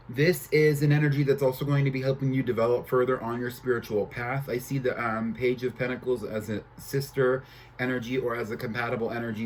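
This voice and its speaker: Amid noticeable background noise, a man at a medium pitch talks at a very fast pace with hardly any pauses and fairly even intonation. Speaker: tarot reader. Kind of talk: tarot reading monologue. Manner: halting, filler-heavy.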